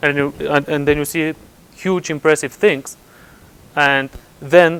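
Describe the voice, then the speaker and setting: A man speaks with a Bulgarian accent at a fairly slow pace, his pitch fairly high. His intonation stays flat and monotone. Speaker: computer scientist at physics lab. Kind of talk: conference talk. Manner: halting, many repetitions.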